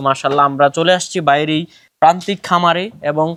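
The background is silent and the recording very clean. It is a man's voice. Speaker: farm video reporter. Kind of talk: video report and interview.

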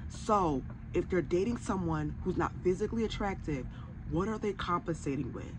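Vocal fry and lively intonation come through at a moderate pace over noticeable background noise. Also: woman. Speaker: commentary vlogger. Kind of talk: commentary. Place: home room.

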